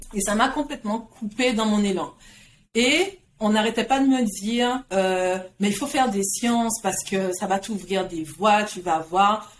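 A woman with a plain, everyday voice, fairly high pitch, ordinary pitch variation and a fairly slow pace. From Guadeloupe. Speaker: career coach. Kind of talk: interview.

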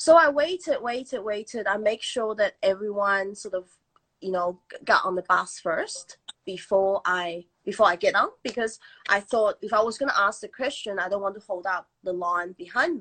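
Pitched in the middle range, a woman talks at a moderate pace. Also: lively intonation. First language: not English. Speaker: storyteller. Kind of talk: storytelling.

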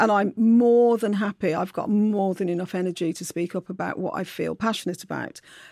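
Speaking with a Brummie accent, a woman keeps a medium pitch and fairly even intonation at a fairly quick pace. The sound is dry and close with no echo, on a very clean recording against a silent background. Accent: Brummie (Birmingham English). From Birmingham, England. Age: middle-aged. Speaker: novelist. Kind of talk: interview. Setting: studio.

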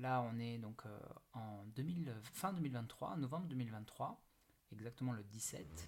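A man speaks very slowly. His pitch is medium. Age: 30s. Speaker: podcast host, network marketing entrepreneur. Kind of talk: solo podcast monologue. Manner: hesitant, many fillers.

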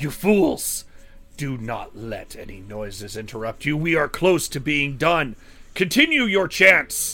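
Over music in the background, a man puts on a character voice, fairly high in pitch with very wide pitch swings, speaking at a fairly slow pace. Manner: commanding, shouting.

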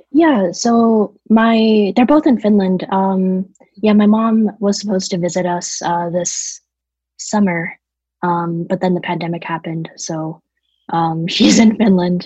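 At a fairly slow pace, a woman speaks in a somewhat breathy voice at a medium pitch with ordinary pitch variation. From various European countries (Germany, London, Estonia, Italy, Poland). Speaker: environmentalist. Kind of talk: casual chat. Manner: frequent fillers and 'like'.

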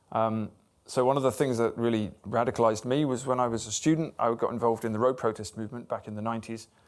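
At a very fast pace, a man with a medium pitch and fairly even intonation speaks on a very clean recording with a silent background. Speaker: writer. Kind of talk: live interview before audience. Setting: club event with audience.

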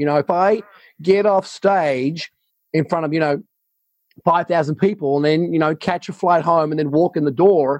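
This man has an ordinary speaking voice with a fairly high pitch and fairly even intonation, moving at a moderate pace in a dry, close sound with no echo. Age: 50s. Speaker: business coach and speaker. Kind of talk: interview conversation.

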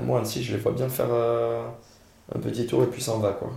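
A man at a moderate pace amid audible room echo and noticeable background noise. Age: 30s. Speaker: football fan co-host. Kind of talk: casual chat.

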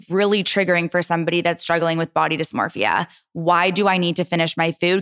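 On a very clean recording with a silent background, a woman speaks at a fairly low pitch. She has an unremarkable speaking voice. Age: 30s. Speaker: entrepreneur and content creator. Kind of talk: casual chat.

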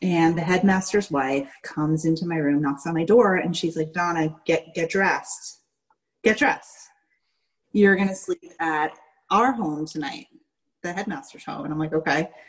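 An ordinary speaking voice from a woman with an American accent, fairly low in pitch, with ordinary pitch variation at a moderate pace. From New York, Staten Island. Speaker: former cult member. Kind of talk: interview testimony.

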